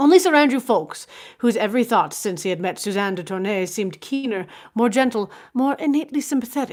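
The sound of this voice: Her tone slightly mellow, a woman speaks at a moderate pace with ordinary pitch variation.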